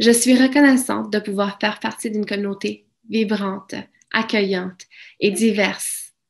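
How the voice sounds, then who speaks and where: At a moderate pace, a woman with a fairly high pitch speaks in fairly even intonation over a quiet background. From Mexico, raised in Alberta, Canada from childhood. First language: Spanish (speaking French). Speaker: francophone community member. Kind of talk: prepared speech.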